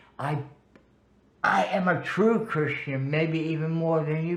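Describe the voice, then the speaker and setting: Audible room echo surrounds a man with a fairly high pitch. He talks at a moderate pace with ordinary pitch variation. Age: 70s. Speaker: spiritual practitioner telling life story. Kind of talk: interview.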